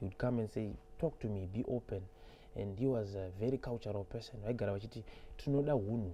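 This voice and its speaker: A man with a Zimbabwean accent talks at a very fast pace in a dark, mellow, somewhat breathy voice, fairly low in pitch with ordinary pitch variation. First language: Shona. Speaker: musician. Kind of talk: interview. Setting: studio.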